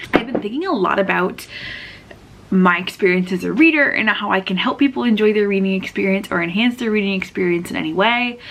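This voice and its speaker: Talking at a very fast pace, a woman with a medium-pitched voice and ordinary pitch variation comes through over noticeable background noise. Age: 20s. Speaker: booktuber. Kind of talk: casual chat.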